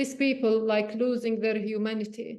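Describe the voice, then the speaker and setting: With audible room echo, a woman in a Palestinian accent speaks at a fairly high pitch in a monotone, flat intonation. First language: Arabic. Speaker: journalist and meditation teacher. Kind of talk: personal reflection talk. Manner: halting, with repetitions.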